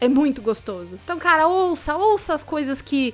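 Music plays in the background as a woman speaks. Her tone is animated, her intonation lively. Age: 20s. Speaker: podcaster and voice performer. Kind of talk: casual chat. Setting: remote call.

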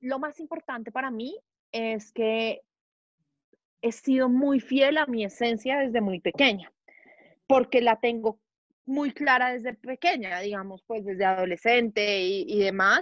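A woman with a high pitch and lively intonation speaks at a very slow pace with long, frequent pauses, in a dry, close sound with no echo over a quiet background. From Colombia, Bogotá. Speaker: marketing professional. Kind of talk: interview conversation. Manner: loud; animated.

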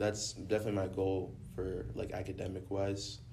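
With audible room echo, a man with an American accent speaks in a fairly low pitch with ordinary pitch variation. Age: young. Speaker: recent high school graduate. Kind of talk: casual chat.

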